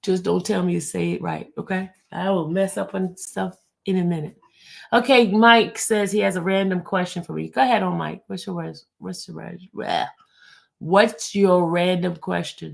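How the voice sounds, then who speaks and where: On a very clean recording with a silent background, a woman speaks with big swings in loudness. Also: moderate pace. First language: French or Spanish. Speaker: YouTube commentator on a criminal trial. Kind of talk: casual livestream chat reading viewer comments. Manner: stumbles over words.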